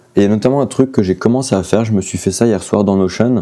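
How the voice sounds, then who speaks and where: Noticeable background noise fills the recording. A man speaks with fairly even intonation. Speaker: artist and vlogger. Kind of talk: casual vlog. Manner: hesitant, many fillers.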